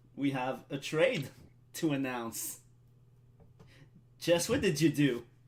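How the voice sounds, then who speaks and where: A man with a French accent, fairly high in pitch, at a very slow pace with long, frequent pauses. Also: ordinary pitch variation. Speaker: draft co-host, league department head. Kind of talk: live draft broadcast.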